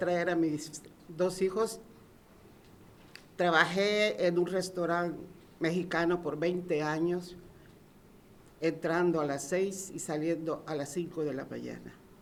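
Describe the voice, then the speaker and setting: A woman with a Salvadoran accent, fairly low pitch, ordinary pitch variation, a moderate pace and long, frequent pauses. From El Salvador. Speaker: resident. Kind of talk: public speech.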